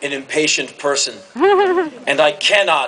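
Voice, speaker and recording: A man's voice over noticeable background noise. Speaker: commencement speaker. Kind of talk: commencement speech to a live audience. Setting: large hall with audience cheering and laughing.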